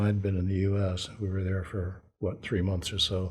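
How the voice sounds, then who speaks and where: A man speaks with an American accent in a dark, mellow tone. His voice is somewhat breathy, with audible room echo. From abroad, Foreign Service childhood, later Washington. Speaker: Vietnam War veteran. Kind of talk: oral history interview. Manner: halting.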